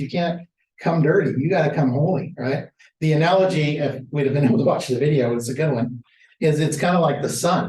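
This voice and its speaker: A man talks at a very fast pace with a fairly high pitch. He sounds somewhat breathy, and his pitch varies in an ordinary way. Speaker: Bible study teacher. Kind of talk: lecture. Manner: animated.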